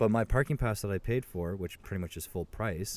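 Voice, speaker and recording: Pitched fairly low, a man talks with an unremarkable speaking voice and ordinary pitch variation. The recording is very clean and the background silent. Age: 20s. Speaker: podcast co-host. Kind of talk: casual chat. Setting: working from home.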